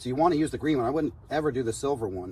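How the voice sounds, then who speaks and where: With a dark, mellow tone and a somewhat breathy quality, a man speaks very fast at a medium pitch with ordinary pitch variation. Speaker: home gardening video maker. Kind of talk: casual tutorial. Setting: outdoors. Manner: soft-spoken.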